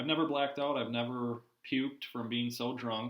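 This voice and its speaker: A man with a medium pitch speaks in an American accent. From Minnesota. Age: 20s. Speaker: guest in construction industry. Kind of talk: casual chat.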